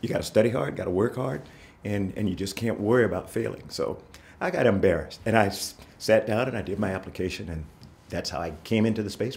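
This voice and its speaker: With an American accent, a man speaks at a very fast pace. His fairly low pitch shows ordinary pitch variation. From South Carolina, US. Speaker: former astronaut, Marine aviator. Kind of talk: oral history interview answer. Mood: warm, reflective storytelling. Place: studio.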